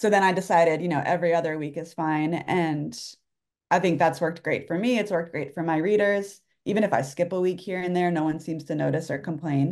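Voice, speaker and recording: A woman with an unremarkable speaking voice talks at a fairly quick pace, with a fairly low pitch and fairly even intonation. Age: 40s. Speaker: writer and newsletter author. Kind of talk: casual interview chat.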